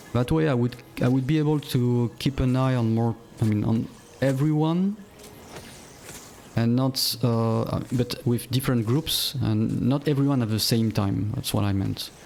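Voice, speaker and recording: A man's medium-pitched voice with a non-native accent, ordinary pitch variation, very even loudness and a moderate pace. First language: not English. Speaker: game streamer. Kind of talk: gameplay commentary. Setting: live stream. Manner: halting, many fillers and repeats.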